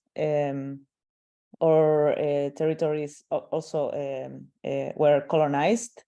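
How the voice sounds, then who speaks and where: A woman speaks at a very slow pace in a Chilean accent. Her pitch is very deep and low, her tone dark and mellow. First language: Spanish. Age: 20s. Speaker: artist. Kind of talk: panel discussion. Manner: halting, many fillers.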